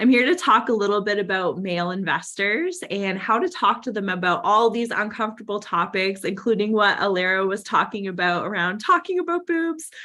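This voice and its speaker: Fairly quick female speech with noticeable background noise throughout. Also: medium pitch for a woman. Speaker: startup founder and CEO. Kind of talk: conference talk.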